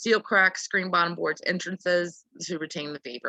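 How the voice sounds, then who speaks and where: A woman speaks at a moderate pace with a fairly low pitch, vocal fry and a bright, sharp tone. Her intonation is fairly even, and the sound is dry and close with no echo. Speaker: beekeeper giving a club presentation. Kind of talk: presentation to a club. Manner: casual, filler-heavy.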